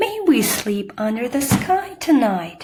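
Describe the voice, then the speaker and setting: In a put-on character voice, a woman speaks at a fairly slow pace with a high pitch and very wide pitch swings. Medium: read story. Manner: soft, wondering.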